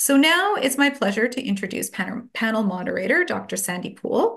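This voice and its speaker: A somewhat breathy voice talks at a moderate pace against a quiet background. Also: woman. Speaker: event host from gallery. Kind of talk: event introduction. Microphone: video call.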